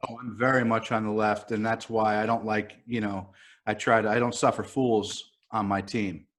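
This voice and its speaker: A man speaks in a fairly low, monotone, flat voice with a New York accent. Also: moderate pace, very clean recording, silent background. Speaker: writer. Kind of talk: casual chat. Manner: halting, many fillers.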